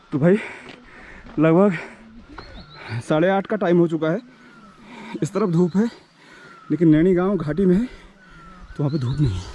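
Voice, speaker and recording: Over noticeable background noise, a man with a high pitch speaks with ordinary pitch variation and long, frequent pauses. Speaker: travel vlogger. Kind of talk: vlog walk-and-talk with villager interviews. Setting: outdoors, mountain trail. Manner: casual, friendly.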